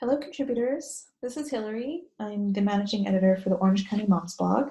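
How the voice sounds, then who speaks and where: Quiet, somewhat breathy female whispering at a very fast pace. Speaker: blog managing editor, mom blogger. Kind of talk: tutorial. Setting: bathroom at night. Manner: whispery, hushed. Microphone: echoey audio.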